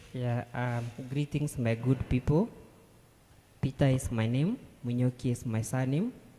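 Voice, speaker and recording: A man speaks at a fairly slow pace with a dark, mellow tone. His voice is somewhat breathy. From Kenya. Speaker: nurse and poet. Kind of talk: interview. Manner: halting.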